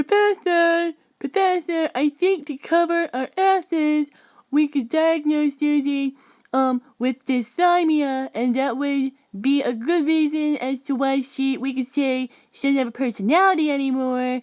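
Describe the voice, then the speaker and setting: A put-on character voice at a moderate pace, in a dry, close sound with no echo. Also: woman, high pitch for a woman. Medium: comedy sketch. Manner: eager, interrupting.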